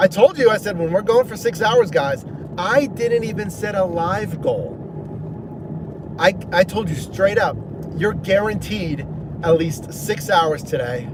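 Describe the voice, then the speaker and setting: Speaking with an American accent at a fairly slow pace, a man uses a high pitch and lively intonation, with long, frequent pauses and noticeable background noise. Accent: 60% New York, 40% Pittsburgh. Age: 30s. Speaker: gig delivery driver and livestreamer. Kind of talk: casual livestream chat. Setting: in a car.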